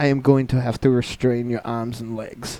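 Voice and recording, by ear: At a moderate pace, a man talks in a dark, mellow tone with little pitch movement. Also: medium pitch for a man.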